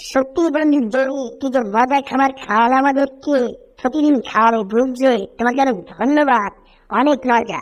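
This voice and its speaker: A female-sounding voice performs a put-on character voice at a high pitch. The pace is moderate. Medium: fan dub. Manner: cheerful, playful.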